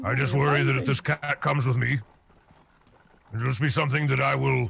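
A raspy, put-on character voice at a fairly quick pace, with very even loudness. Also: man, medium pitch for a man. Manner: worried, vulnerable.

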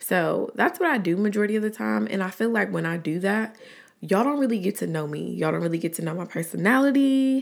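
An animated woman at a very fast pace, medium in pitch, with very wide pitch swings and an American accent. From Atlanta, Georgia (Southside). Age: 20s. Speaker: podcaster and YouTuber. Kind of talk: casual solo podcast chat. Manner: animated, laughing often.

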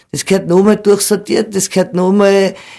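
A woman's voice, dark and mellow in tone, is heard on a very clean recording with a silent background. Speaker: cider farmer. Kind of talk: interview. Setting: studio.

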